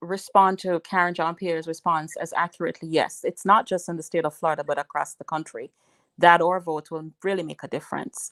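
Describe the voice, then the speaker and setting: In a Jamaican accent, a woman talks at a fairly quick pace and fairly low pitch, with big swings in loudness, in a dry, close sound with no echo. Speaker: political advisor. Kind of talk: radio interview. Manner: halting, many fillers.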